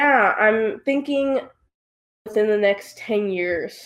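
This woman has a normal speaking voice with a fairly high pitch and ordinary pitch variation. She talks at a fairly slow pace. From United States. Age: 20s. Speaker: real estate agent and young investor. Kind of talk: interview.

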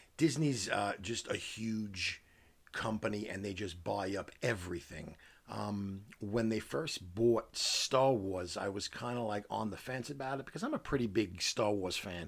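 Here a man speaks with an American accent. His pitch is fairly low and his pace fairly slow. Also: ordinary pitch variation. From New York City. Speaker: podcast host, gamer, parent. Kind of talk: casual chat.

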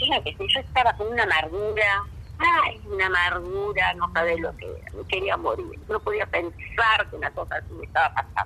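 A woman at a moderate pace, with big swings in loudness, amid noticeable background noise. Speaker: farm founder. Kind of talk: phone interview. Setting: phone call. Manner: emotive.

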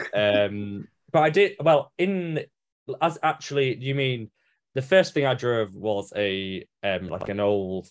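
A man talks with an English accent. His intonation is lively. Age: 20s. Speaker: motoring journalist. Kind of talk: casual chat. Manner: halting.

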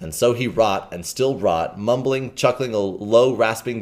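Pitch variation here is ordinary. It comes from reading aloud in a natural voice.

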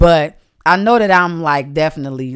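A woman speaks at a moderate pace with lively intonation. The recording is very clean, with a silent background. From Detroit, US. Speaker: actor and model. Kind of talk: casual chat.

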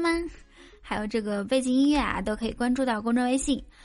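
An animated woman's voice, high in pitch, over a quiet background. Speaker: comedy podcast host. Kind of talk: joke telling; casual chat.

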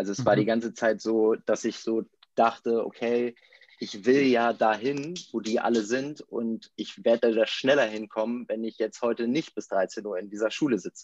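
In an unremarkable speaking voice, a man talks at a moderate pace and medium pitch with fairly even intonation, the sound dry and close with no echo. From northern Germany, near Bremen. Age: 30s. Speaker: former tennis pro, company co-founder. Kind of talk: podcast interview.

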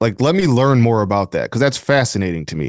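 A man speaks with an American accent at a moderate pace. His pitch swings very widely over a quiet background. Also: dry, close sound with no echo. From Flint, Michigan. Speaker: sports beat writer. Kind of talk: casual interview.

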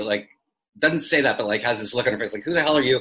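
A man's bright, sharp voice with lively intonation. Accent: Canadian. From Canada, Toronto. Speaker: filmmaker. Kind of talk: casual chat.

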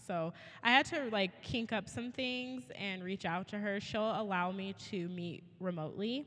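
A woman has a plain, everyday voice at medium pitch. Her pitch shows ordinary variation. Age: 30s. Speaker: kindergarten teacher and podcast co-host. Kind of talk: casual chat.

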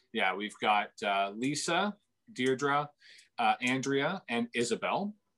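Very slowly, a man with a Canadian accent talks in a bright, sharp tone at a fairly high pitch. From Ontario, Canada. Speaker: cafe owner. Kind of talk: interview. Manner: hesitant, many fillers.

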